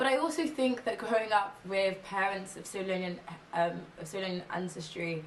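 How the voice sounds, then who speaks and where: Over noticeable background noise and audible room echo, a woman with an English accent talks at a fairly quick pace and a medium pitch, her intonation lively. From England, London. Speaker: ethnographic researcher and policy consultant. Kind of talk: interview monologue.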